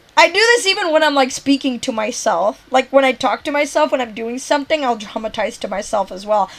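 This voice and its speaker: A loud woman speaks high and fast-ish, at a fairly quick pace with hardly any pauses. Her tone is animated with lively intonation, over noticeable background noise. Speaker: game streamer. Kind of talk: casual chat.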